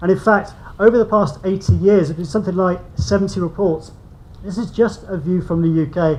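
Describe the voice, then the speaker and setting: With a British accent and a high pitch, a man speaks at a fairly quick pace with fairly even intonation. Audible room echo surrounds his voice. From UK. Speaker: invited speaker on construction policy. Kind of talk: conference presentation.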